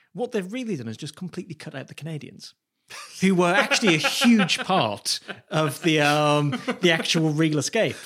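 With a British accent, a man speaks at a fairly high pitch, his pitch swinging very widely. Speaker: podcast co-host. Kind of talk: casual chat.

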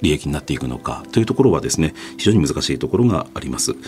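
A man talks at a very fast pace in a very deep, low voice with very wide pitch swings. Music plays in the background. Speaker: NGO founder. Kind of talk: interview. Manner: hesitant.

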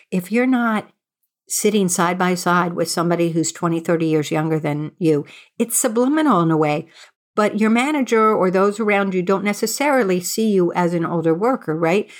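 An ordinary speaking voice with lively intonation and very even loudness speaks at a moderate pace on a very clean recording with a silent background. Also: woman, medium pitch for a woman. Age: 60s. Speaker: journalist and author. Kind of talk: interview.

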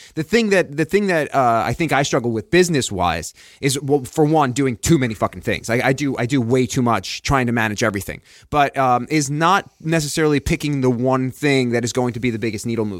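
With an American accent and an ordinary speaking voice, a man at medium pitch talks at a fairly quick pace with lively intonation and hardly any pauses. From Long Island, New York. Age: 40s. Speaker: fitness podcaster and trainer, former actor. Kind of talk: casual chat. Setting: studio.

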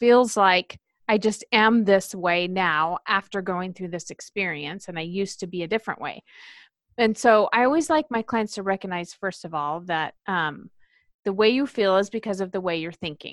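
A woman with a medium-pitched voice speaks at a moderate pace with ordinary pitch variation, the sound dry and close with no echo. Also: quiet background. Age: 40s. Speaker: life coach. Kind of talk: casual chat. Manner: animated.

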